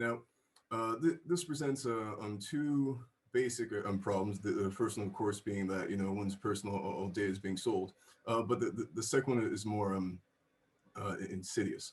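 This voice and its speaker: Here a man speaks at a moderate pace with a somewhat breathy quality. His fairly low voice has ordinary pitch variation. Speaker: college student presenter. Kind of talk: class presentation. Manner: halting, many fillers.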